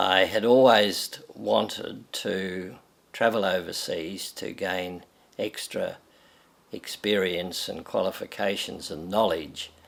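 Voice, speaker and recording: The delivery is very slow, in an Australian accent. Intonation stays fairly even. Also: man. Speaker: retired pharmacy educator. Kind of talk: personal reminiscence interview. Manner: halting.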